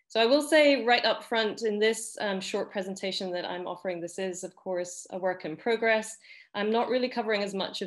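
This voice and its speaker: With a slight Scottish accent, a woman speaks at a medium pitch with ordinary pitch variation. The background is quiet. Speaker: academic researcher. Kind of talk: panel presentation. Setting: video call.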